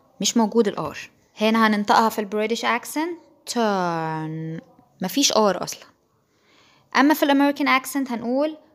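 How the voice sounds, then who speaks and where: In a very clean recording with a silent background, a woman with an ordinary speaking voice talks at a moderate pace, fairly high in pitch and with lively intonation. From Egypt. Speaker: English teacher. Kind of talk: tutorial.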